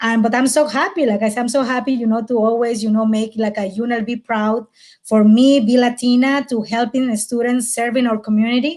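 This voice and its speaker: Fairly quick speech in a strong Mexican accent. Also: woman, fairly high pitch for a woman. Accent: thick Mexican Spanish. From Mexico, Mérida, Yucatán. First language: Spanish. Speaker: college outreach coordinator. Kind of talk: webinar panel discussion. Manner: halting, energetic.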